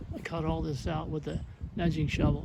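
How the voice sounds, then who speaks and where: A man talks at a moderate pace, with noticeable background noise throughout. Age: 70s. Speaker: retired homeowner doing DIY yard work. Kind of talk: casual talk to camera.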